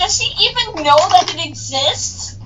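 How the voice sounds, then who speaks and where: A put-on character voice comes through against clear background noise. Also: moderate pace. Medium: machinima. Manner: casual, friendly.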